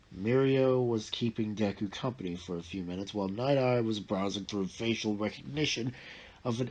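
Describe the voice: The pitch varies in an ordinary way. The delivery is plain reading aloud.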